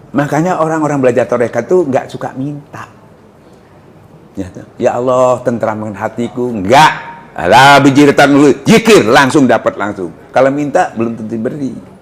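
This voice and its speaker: The voice moves at a moderate pace with big swings in loudness over noticeable background noise. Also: man, medium pitch for a man, ordinary pitch variation. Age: 70s. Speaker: Islamic preacher. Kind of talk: religious lecture. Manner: conversational, asks audience questions.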